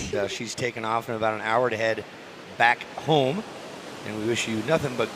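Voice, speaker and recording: Over noticeable background noise, a man speaks at a medium pitch and moderate pace with fairly even intonation and long, frequent pauses. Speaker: surf contest announcer. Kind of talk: live commentary.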